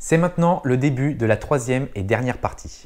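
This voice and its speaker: This is a man speaking. His pace is moderate. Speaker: wildlife observation vlogger. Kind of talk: casual vlog narration. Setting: outdoors at bird observatory. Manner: soft-spoken; hesitant, many fillers.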